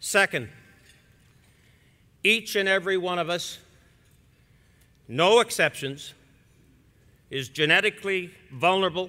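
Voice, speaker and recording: With long, frequent pauses, a man uses a raised, projected voice pitched high. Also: ordinary pitch variation, fairly slow pace. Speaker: keynote speaker. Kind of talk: speech.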